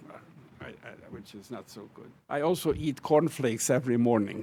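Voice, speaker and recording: A man with a Hungarian accent, medium pitch, moderate pace and fairly even intonation. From Hungary. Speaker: professor. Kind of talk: farewell speech. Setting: auditorium with audience. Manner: halting.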